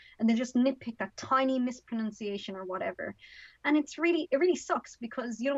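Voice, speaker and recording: Talking very fast with an Irish accent, a woman speaks in a high pitch against a quiet background. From Ireland. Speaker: author and activist. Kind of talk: podcast interview.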